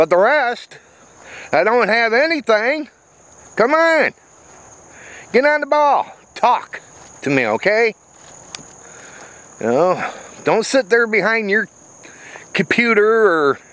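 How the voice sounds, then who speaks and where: Recorded with a dry sound and no echo, a man speaks at a very slow pace with lively intonation and long, frequent pauses. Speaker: vlogger. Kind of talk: casual vlog chat. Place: open country. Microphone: phone near.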